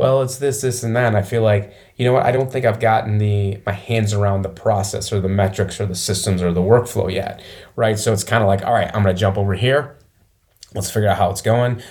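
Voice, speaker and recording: With an American accent, the speaker talks fairly quickly in a somewhat breathy voice with fairly even intonation. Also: man, fairly low pitch for a man. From Michigan, small town near Flint. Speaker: business owner. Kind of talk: interview.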